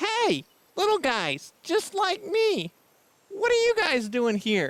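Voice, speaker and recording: This is a put-on character voice. It is squeaky and extremely high in pitch. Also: fairly slow pace. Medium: audio drama. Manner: friendly, casual.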